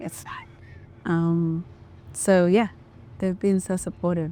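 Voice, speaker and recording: Slowish and fairly low in pitch, a woman talks with an Australian accent. Her intonation is fairly even. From Australia (Melbourne), Ethiopian family. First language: Amharic. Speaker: sound artist and vocalist. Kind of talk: casual interview chat. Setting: music venue.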